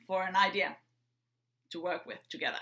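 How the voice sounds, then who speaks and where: A bright, sharp tone comes through in a Finnish accent. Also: woman. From Finland. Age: 30s. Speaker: entrepreneur. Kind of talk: prepared talk. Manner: upbeat.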